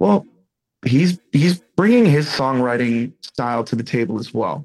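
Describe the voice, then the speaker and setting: A man with an American accent speaks with very wide pitch swings. His voice carries vocal fry. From US Northeast, Boston. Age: 30s. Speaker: rock band lead singer. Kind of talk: casual interview.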